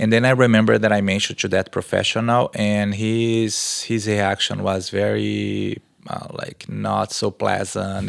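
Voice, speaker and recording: A man with a fairly low pitch and a Brazilian accent speaks at a moderate pace in a flat monotone, with hardly any pauses and noticeable background noise. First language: Portuguese. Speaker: research professor and exercise scientist. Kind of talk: podcast interview answer.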